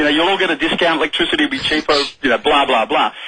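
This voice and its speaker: A man with an Australian accent, fairly high in pitch, animated in tone, with ordinary pitch variation and noticeable background noise. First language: sign language. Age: young. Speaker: politician. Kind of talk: radio interview.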